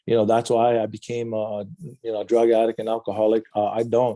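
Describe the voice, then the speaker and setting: A man's very fast speech with a Hawaiian accent, medium in pitch and dark, mellow in tone, in a very clean recording with a silent background and a dry, close sound with no echo. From Hawaii, Big Island (Waimea). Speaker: addiction recovery counselor. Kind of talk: interview testimony.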